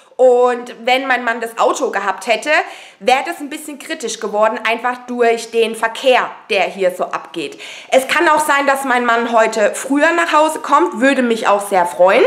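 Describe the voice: A woman's fairly high voice with a fairly bright tone, lively intonation, a fairly slow pace, few pauses and faint background noise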